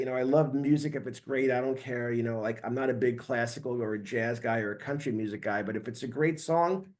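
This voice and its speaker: At a fairly quick pace with hardly any pauses, a man speaks at a medium pitch with ordinary pitch variation. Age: 60s. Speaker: heavy metal guitarist. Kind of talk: podcast interview. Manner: halting, many fillers.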